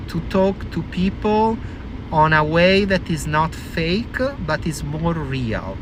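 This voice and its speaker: Amid noticeable background noise and audible room echo, a man talks at a fairly high pitch with ordinary pitch variation. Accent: Italian. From Italy. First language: Italian. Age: 40s. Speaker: vlogger. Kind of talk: casual monologue. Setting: in a car. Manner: animated.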